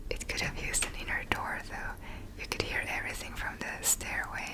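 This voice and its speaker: A whisper at moderate speed, with noticeable noise behind it. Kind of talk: ASMR home tour voiceover. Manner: whispered; rambling.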